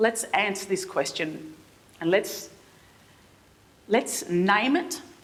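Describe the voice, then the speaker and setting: Noticeable background noise sits under a woman with an Australian accent who speaks at a medium pitch and a fairly slow pace. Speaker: theatre artistic director. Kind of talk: keynote speech. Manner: halting, many repetitions.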